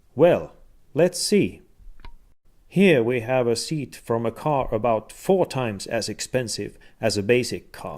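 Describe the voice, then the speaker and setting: A man at medium pitch, a fairly slow pace, and a very clean recording with a silent background. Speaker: product demonstrator. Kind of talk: product demo. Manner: demonstrates voice changes with posture.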